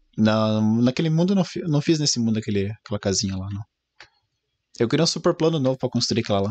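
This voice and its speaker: The sound is dry and close with no echo as a medium-pitched man talks very fast with lively intonation, broken by long, frequent pauses. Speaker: streamer. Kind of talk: casual chat. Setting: live stream.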